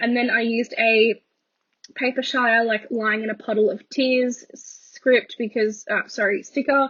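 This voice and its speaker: Here a woman speaks with an Australian accent. Her voice is fairly high in pitch. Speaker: planner YouTuber. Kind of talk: voiceover narration. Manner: casual, hesitant with ums.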